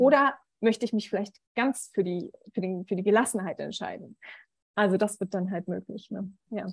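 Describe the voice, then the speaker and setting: A woman speaks at a moderate pace with long, frequent pauses and a somewhat breathy voice. The sound is dry and close, with no echo. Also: medium pitch for a woman, ordinary pitch variation. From Berlin, Germany. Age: 30s. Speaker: medical student and coach. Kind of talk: interview conversation. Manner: hesitant, many filler sounds.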